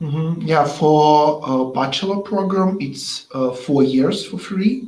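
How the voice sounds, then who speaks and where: In a Russian accent, a man speaks at a very slow pace with a fairly high pitch and ordinary pitch variation, and audible room echo is present. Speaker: webinar host. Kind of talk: interview. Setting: online webinar. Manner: halting.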